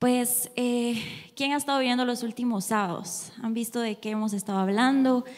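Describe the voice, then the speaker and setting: Her pitch is high for a woman, and her pace is moderate. The intonation stays fairly even. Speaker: youth church speaker. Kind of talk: sermon. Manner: halting.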